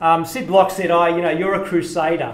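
Audible room echo surrounds the voice of a man talking. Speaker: conference speaker. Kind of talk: lecture. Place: hall. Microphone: podium.

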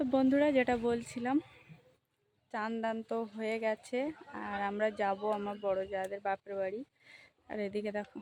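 The sound is dry and close, with no echo. A woman speaks at a fairly high pitch. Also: fairly even intonation. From Sundarbans, West Bengal. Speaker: village lifestyle vlogger. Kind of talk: casual vlog narration.

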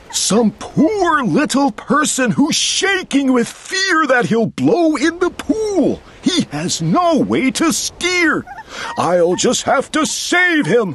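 A put-on character voice with a high pitch and very wide pitch swings moves at a very slow pace over clear background noise. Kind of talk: children's read-aloud. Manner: earnest, gentle, caring.

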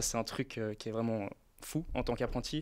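A man at a medium pitch and moderate pace, on a very clean recording with a silent background. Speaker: former apprentice, design student. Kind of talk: casual chat.

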